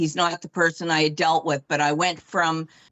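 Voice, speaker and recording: A woman at a moderate pace. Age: 50s. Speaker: knee replacement patient. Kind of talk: interview. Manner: halting.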